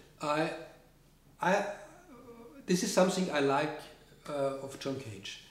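In a German accent, a man speaks at a fairly high pitch and a fairly slow pace, with lively intonation, long, frequent pauses and audible room echo. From Austria. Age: 50s. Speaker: composer; interviewee. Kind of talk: interview. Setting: studio. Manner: halting. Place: studio.

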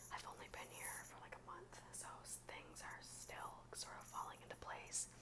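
Someone is whispering at a fairly slow pace. The whisperer is a woman. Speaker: vlogger. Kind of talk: casual talk to camera. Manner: whispered, soft-spoken. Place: home room. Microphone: earbuds.

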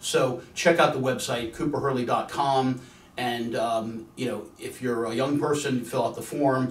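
Audible room echo surrounds a man with an American accent who speaks at a fairly slow pace with fairly even intonation. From Virginia. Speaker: attorney. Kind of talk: promotional talk; promotional address to camera. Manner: casual, with filler words. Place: studio.

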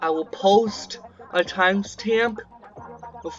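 The speech moves at a very slow pace, with faint music in the background. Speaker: gameplay narrator. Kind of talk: casual gameplay commentary.

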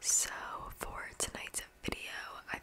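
The voice is a woman's whisper. Her pace is very slow. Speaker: ASMR creator. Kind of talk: soft ASMR talk. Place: home room. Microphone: studio mic.

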